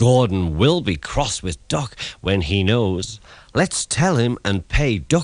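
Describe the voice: The intonation moves in a lively way. The delivery is plain reading aloud.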